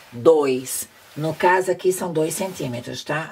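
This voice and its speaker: Fairly slow delivery with ordinary pitch variation over noticeable background noise. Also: woman. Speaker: sewing instructor. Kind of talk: tutorial. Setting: home sewing workspace, filmed video.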